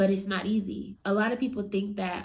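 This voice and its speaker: Her delivery is very slow and monotone, with flat intonation. The woman's dark, mellow voice is somewhat breathy, and the room echo is audible. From US West Coast, San Francisco Bay Area. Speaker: real estate entrepreneur and motivational speaker. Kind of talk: motivational talk. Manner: casual.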